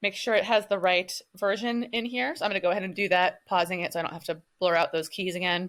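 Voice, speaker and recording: Lively intonation carries this woman's speech on a very clean recording with a silent background. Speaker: online business tech consultant. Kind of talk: screen-share tutorial. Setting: at home. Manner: fast; hesitant with frequent ums.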